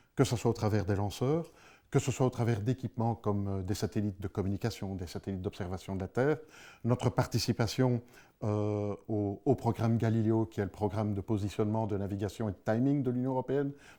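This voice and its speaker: A man with a Belgian accent talks at a fairly quick pace and fairly low pitch, with ordinary pitch variation. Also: very clean recording, silent background. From Belgium. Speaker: space security director, ex-police officer. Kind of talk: interview. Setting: studio. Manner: hesitant, many fillers.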